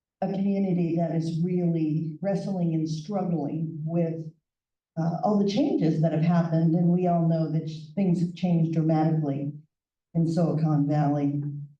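This woman speaks in a fairly low, dark and mellow voice at a moderate pace, her intonation flat and monotone, her loudness very even, with audible room echo. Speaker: nonprofit director. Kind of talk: presentation.

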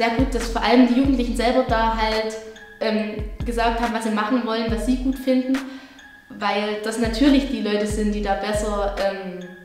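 A woman speaks at a moderate pace in a monotone, flat intonation. Music plays in the background, and room echo is audible. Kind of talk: interview answer. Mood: friendly, smiling. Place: home room.

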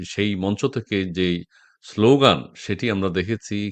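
A man's fairly low pitch shows ordinary variation. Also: quiet background. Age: middle-aged. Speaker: political talk show host. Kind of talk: live political talk show. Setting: live stream video call.

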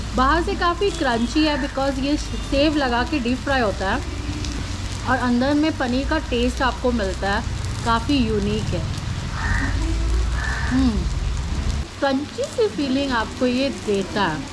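Against noticeable background noise, a woman speaks at a very slow pace with long, frequent pauses. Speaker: food vlogger. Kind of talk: casual vlog chat. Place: cafe.

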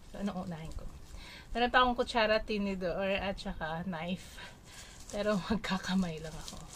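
Moving at a fairly quick pace, a woman's voice shows ordinary pitch variation and big swings in loudness, with light background noise. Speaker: food vlogger. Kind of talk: casual vlog chat. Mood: cheerful, festive. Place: home room. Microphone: phone near.

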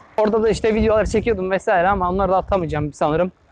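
A man races along at a very fast rate, the sound dry with no echo and light noise underneath. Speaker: cycling vlogger. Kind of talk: casual vlog chat. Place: bicycle. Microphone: phone near.

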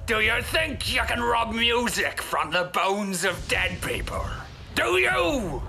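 A man with a high pitch talks at a fairly slow pace. There is clear background noise. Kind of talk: comic overacting. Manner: dramatic, challenging.

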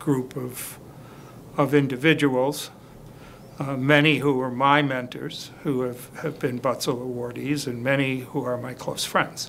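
This man talks at a fairly slow pace with a medium pitch, little pitch movement, vocal fry and a fairly bright tone.

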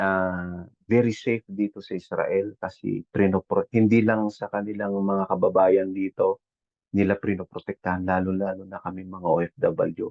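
A man at a fairly slow pace, an ordinary speaking voice. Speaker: overseas Filipino worker, caregiver. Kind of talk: casual chat. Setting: video call.

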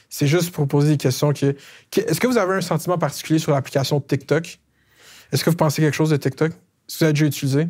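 A man speaks at a very fast pace, his pitch fairly high and his intonation fairly even, against a quiet background. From Quebec, Laval; Quebec. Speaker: comedian interviewer, YouTube host. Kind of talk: political interview. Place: studio. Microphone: lapel.

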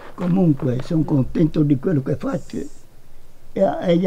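A man with a dark, mellow tone and a fairly high pitch speaks with lively intonation over light background noise. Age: 80s+. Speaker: gardener. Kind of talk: documentary interview reflection. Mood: calm, content. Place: open country.

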